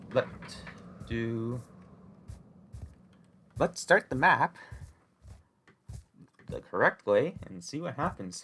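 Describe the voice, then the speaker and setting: Speaking very slowly with long, frequent pauses, a man uses a fairly high pitch, a bright, sharp tone, vocal fry and very wide pitch swings. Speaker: Minecraft speedrunner. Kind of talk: gameplay commentary. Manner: quiet after the intro; hesitant, many filler words.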